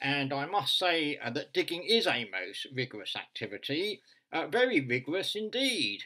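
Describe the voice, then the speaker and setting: Over a quiet background, a man speaks at a fairly slow pace in a bright, sharp tone with very wide pitch swings. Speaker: comic monologue performer. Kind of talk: comedic monologue addressing someone. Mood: dry, mock-serious humour. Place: home room. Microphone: webcam.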